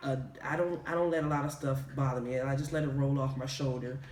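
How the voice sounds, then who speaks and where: A man with a slight Southern US accent talks in a relaxed tone at a fairly high pitch, with noticeable background noise and audible room echo. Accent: slight Southern drawl. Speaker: video podcast co-host. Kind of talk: casual chat. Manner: relaxed, casual, slang-heavy.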